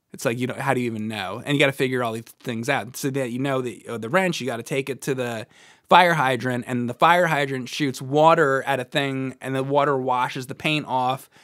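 A man's medium-pitched voice with ordinary pitch variation and hardly any pauses, in a dry sound with no echo against a quiet background. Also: fairly quick pace. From New Jersey. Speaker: video game podcast co-host. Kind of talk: casual chat. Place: studio. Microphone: studio mic.

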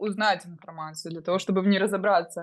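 Here a woman talks, her pitch varying in an ordinary way. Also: quiet background. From Ukraine, Dnipro. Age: 20s. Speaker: crypto course student, young mother. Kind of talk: interview testimony.

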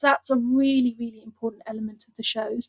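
Over a quiet background, a woman speaks at a fairly quick pace with a high pitch and ordinary pitch variation. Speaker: guest. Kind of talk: interview answer. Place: home room. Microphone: video call.

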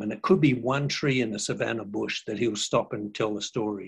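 Speaking at a moderate pace in an Australian accent, a man shows vocal fry and ordinary pitch variation against a quiet background. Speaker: cultural educator, former social worker. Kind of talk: educational talk. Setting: video call. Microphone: video call.

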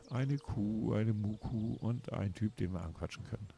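Speaking at a very slow pace, a man uses a fairly low pitch and a dark, mellow tone that is somewhat breathy. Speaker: gaming YouTuber. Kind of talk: let's play commentary. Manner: halting.

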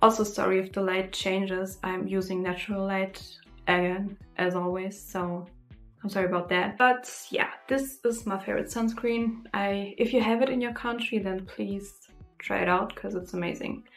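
Faint music sits in the background. A woman speaks with fairly even intonation. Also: moderate pace. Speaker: beauty vlogger. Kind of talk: casual vlog chat, product review. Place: home room.

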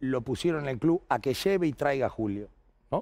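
A man's medium-pitched voice with lively intonation and a fairly quick pace, over a quiet background. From Argentina, Bahía Blanca; Argentina. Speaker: basketball coach. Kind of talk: casual interview chat. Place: studio. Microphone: headset.

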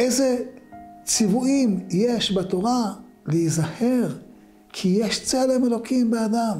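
Over faint music in the background, a man with an extremely high pitch speaks at a very slow pace with very even loudness and ordinary pitch variation. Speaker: religious teacher. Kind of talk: short religious talk. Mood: calm, earnest teaching tone. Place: studio.

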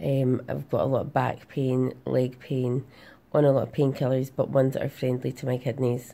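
A woman with a Glasgow accent speaks at a moderate pace in a very deep, low, dark and mellow voice with vocal fry and monotone, flat intonation. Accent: Scottish (Glasgow). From Glasgow, Scotland. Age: 30s. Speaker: patient sharing her health journey. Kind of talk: casual talk to camera. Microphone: phone near.

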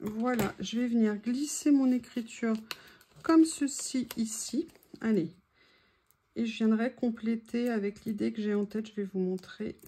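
A woman speaks in a fairly high, somewhat breathy voice with ordinary pitch variation. Her pauses are long and frequent. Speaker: craft youtuber. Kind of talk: crafting tutorial. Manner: casual, chatty with hesitations.

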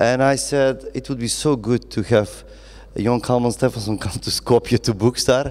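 A man talks at moderate speed, keeping his intonation fairly even. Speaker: event moderator. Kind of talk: interview question / introduction. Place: stage. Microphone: handheld.

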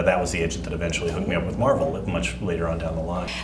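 Against noticeable background noise, a man with an American accent talks at a very fast pace. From Texas. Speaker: comic book writer and filmmaker. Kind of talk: interview. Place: studio.

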